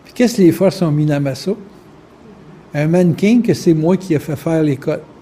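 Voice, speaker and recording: Speaking in a Quebec accent at a moderate pace, a man with a high pitch and ordinary pitch variation makes big swings in loudness against noticeable background noise. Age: 60s. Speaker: spiritual lecturer. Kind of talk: lecture. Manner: casual, conversational.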